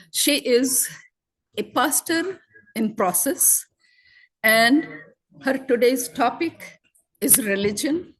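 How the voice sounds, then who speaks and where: A woman speaks at a very slow pace, leaving long, frequent pauses. Her high pitch moves with lively intonation. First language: not English (speaking French). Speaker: event host. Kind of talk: introduction of a speaker.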